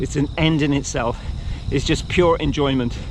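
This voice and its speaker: Amid noticeable background noise, a man with a fairly high pitch speaks at a moderate pace. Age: 60s. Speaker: cycling and running vlogger. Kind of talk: casual vlog monologue. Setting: outdoors, riding a bike.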